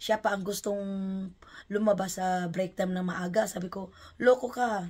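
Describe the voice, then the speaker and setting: A somewhat breathy woman's voice of medium pitch, with fairly even intonation at a moderate pace. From Philippines. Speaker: vlogger. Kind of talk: unboxing vlog.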